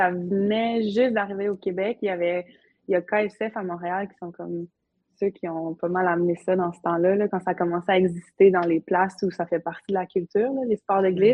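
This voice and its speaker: A woman has an unremarkable speaking voice with fairly even intonation. She talks at a moderate pace. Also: medium pitch for a woman, big swings in loudness. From Quebec, Côte-Nord (Havre-Saint-Pierre). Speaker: entrepreneur, paddleboard business owner. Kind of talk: casual interview.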